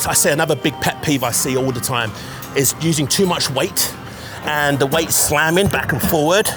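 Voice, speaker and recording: A man with a London accent speaks in an energetic tone at a fairly slow pace, his fairly high pitch carrying ordinary pitch variation over music in the background. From East London, England. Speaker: bodybuilder, fitness coach. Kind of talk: fitness tutorial talk to camera. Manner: energetic, instructive.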